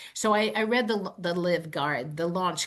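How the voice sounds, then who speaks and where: Lively intonation from a woman at a moderate pace, with noticeable background noise behind her. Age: 60s. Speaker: network marketing distributor. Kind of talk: podcast interview.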